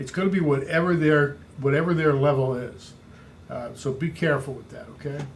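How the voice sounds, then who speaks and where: Through noticeable background noise and audible room echo, a man speaks at a fairly quick pace and fairly high pitch, with fairly even intonation and big swings in loudness. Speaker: real estate coach. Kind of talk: training talk.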